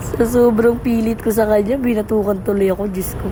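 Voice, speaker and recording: A woman rattles along at a very fast pace and medium pitch, with noticeable background noise and audible room echo. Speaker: vlogger and street food worker. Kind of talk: vlog voice-over narration. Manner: casual, chatty.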